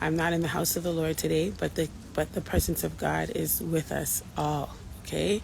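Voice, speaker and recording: A quiet woman's voice at a moderate pace. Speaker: faith-based abuse recovery vlogger. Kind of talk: casual vlog monologue. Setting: outdoors in Jamaica with people around. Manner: quiet, holding back volume; animated, encouraging.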